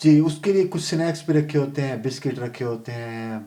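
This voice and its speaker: Ordinary pitch variation runs through a man's dark, mellow tone. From Pakistan. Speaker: long-distance cyclist; computer programmer. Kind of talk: interview answer.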